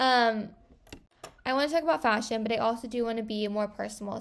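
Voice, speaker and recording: Moving at a fairly quick pace, a woman speaks at a fairly high pitch with ordinary pitch variation. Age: 20s. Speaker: podcast host and social media creator. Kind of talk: casual solo podcast chat. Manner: animated. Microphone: wrong microphone, may sound poor.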